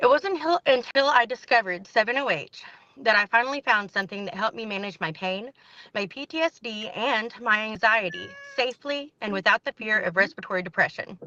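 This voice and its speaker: A woman speaks at a fairly quick pace with a fairly high pitch and lively intonation, and the sound is dry and close with no echo. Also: big swings in loudness. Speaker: public hearing testifier. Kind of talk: testimony. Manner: hard to understand.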